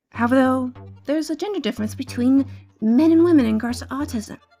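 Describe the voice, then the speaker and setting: Music behind a woman's fairly quick speech. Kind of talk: educational talk to camera. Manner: quiet.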